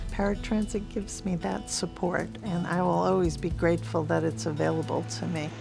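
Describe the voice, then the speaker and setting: Against background music, a woman talks at a fairly quick pace with hardly any pauses. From New England. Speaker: transit rider with multiple sclerosis. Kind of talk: interview answer.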